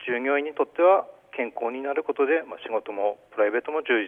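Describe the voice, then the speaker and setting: A man talks at a very fast pace. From Aomori, Goshogawara. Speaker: company general affairs manager. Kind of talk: radio interview. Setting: phone call.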